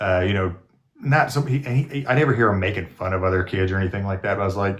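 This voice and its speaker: A man mumbles at a fairly quick pace, his pitch fairly low. The background is quiet. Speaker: nurse and video creator. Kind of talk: casual chat. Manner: mumbling; halting. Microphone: studio podcast microphone.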